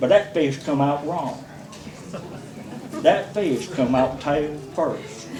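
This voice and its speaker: With a North Carolina accent, a man with a fairly high pitch talks at a very slow pace with ordinary pitch variation and long, frequent pauses, amid audible room echo and noticeable background noise. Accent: Southern US, North Carolina. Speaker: storyteller at a birthday party. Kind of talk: anecdote telling at a party roast. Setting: party with audience, using a microphone.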